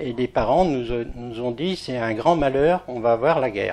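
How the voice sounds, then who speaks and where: A man talks at a very slow pace. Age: 80s+. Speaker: war witness. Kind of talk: testimony. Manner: halting.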